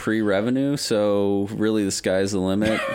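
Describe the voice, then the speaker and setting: A moderate pace amid noticeable background noise. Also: man. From Denver, US West. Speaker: guest gamer. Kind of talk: casual chat.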